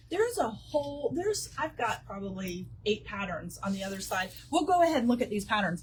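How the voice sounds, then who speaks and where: Her tone animated, a woman talks at a fairly quick pace with hardly any pauses. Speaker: quilt shop owner. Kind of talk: live stream product and class presentation. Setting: in a quilt shop.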